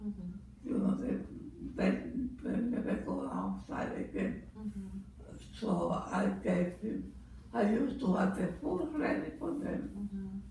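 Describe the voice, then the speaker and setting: Very slow speech in a room with strong echo, over light background noise. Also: woman. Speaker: mother. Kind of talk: interview answer. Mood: calm, reminiscing about raising children. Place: home room. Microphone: camera far.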